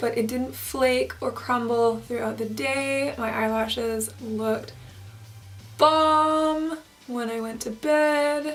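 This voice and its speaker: A woman talks at a very slow pace amid audible room echo and noticeable background noise. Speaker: beauty YouTuber. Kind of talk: tutorial. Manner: chatty.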